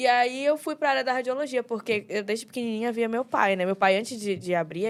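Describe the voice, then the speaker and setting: A woman with fairly high pitch talks very fast, her intonation lively. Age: 20s. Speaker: young pastor. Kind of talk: casual chat.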